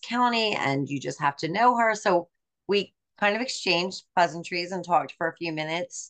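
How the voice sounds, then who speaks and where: A woman with a Philadelphia accent, lively intonation and a moderate pace. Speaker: podcast host. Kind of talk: casual storytelling in podcast intro.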